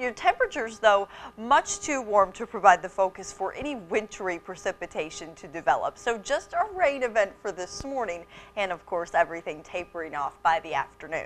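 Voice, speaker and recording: A woman talks at a fairly quick pace with lively intonation and big swings in loudness while music plays in the background. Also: medium pitch for a woman. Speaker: TV weather anchor. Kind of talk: TV weather forecast.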